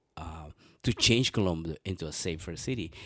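At a moderate pace, a man with a Spanish accent speaks with ordinary pitch variation in a very clean recording with a silent background. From Venezuela. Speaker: city council candidate. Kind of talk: interview.

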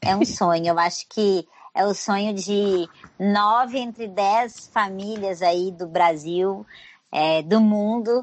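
A woman speaks at a medium pitch and a very slow pace. Her pitch varies in an ordinary way. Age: 40s. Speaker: travel agent and tour guide. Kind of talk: casual interview.

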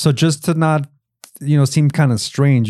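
On a very clean recording with a silent background, a man with a dark, mellow tone speaks at a moderate pace. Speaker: podcast host. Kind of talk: casual chat, interview. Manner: casual, profane.

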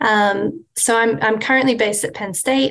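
With an Australian accent, a woman speaks fairly slowly in a fairly high, fairly bright voice with fairly even intonation.

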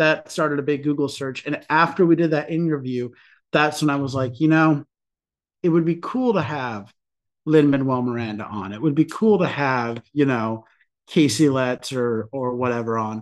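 An unremarkable speaking voice moves at a moderate pace with ordinary pitch variation over a quiet background. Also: man, fairly high pitch for a man. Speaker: podcast co-host. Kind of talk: casual interview chat. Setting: video call.

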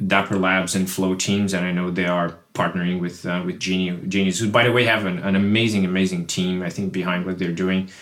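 A man with a Portuguese accent, very deep low pitch and fairly even intonation. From Brazil. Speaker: crypto product executive. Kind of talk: casual panel discussion. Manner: halting, with frequent repetitions.

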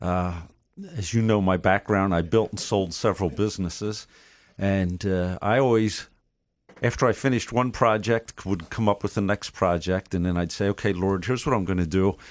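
A man with an ordinary speaking voice, fairly low in pitch, at a moderate pace. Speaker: ministry leader and coach. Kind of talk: casual chat. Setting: studio.

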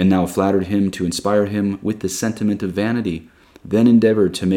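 The reading aloud is plain, its intonation fairly even.

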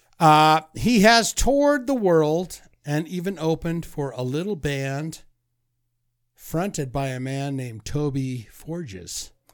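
A man's plain, everyday voice, fairly high-pitched, at a fairly slow pace with lively intonation. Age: 40s. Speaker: podcast co-host. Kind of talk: casual chat.

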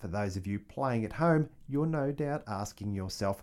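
Lively intonation marks this man's speech with an Australian accent, delivered at a moderate pace. The recording is very clean, with a silent background. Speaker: history podcast host. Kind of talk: scripted narration.

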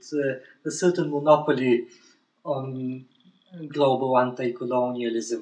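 The speaker is a man. He talks with a Bulgarian accent. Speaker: professor. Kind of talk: interview. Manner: halting.

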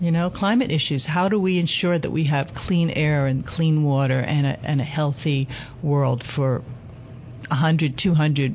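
A woman's very deep, low pitch with noticeable background noise. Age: 60s. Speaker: elder activist. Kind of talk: interview. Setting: studio.

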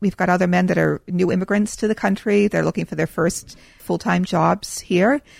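A woman's medium-pitched voice with vocal fry, ordinary pitch variation and a fairly quick pace, in a dry, close sound with no echo. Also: hardly any pauses, very even loudness. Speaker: nonprofit founder. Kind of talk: casual interview.

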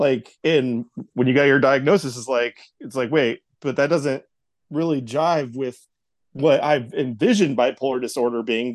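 With an ordinary speaking voice, a man talks at a moderate pace and medium pitch with ordinary pitch variation, the sound dry and close with no echo over a quiet background. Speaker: host's husband.

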